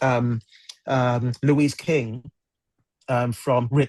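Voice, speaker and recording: His pitch sits in the medium range. The man talks at a very slow pace. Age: 60s. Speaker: drummer. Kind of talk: interview. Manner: halting, repeated words.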